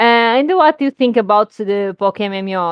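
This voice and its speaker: A woman speaks at a medium pitch. She has a normal speaking voice. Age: 30s. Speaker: gaming podcast interviewer. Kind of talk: casual interview.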